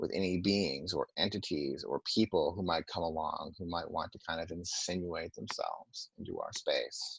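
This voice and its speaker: A man at a moderate pace with hardly any pauses. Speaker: trance work facilitator. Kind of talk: webinar talk; guided meditation. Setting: webinar.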